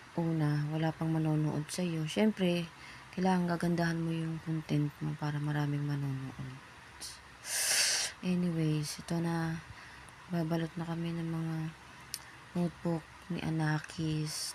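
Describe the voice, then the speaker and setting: A woman's flat, monotone delivery, fairly slow and with long, frequent pauses. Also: fairly low pitch for a woman. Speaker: first-time vlogger, parent. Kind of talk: casual vlog voiceover. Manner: casual, chatty.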